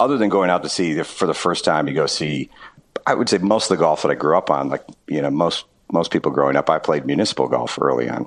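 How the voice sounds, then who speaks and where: Here a man speaks at a very fast pace. His voice is very deep and low, with ordinary pitch variation. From Wisconsin. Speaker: golf course architect. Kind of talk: interview.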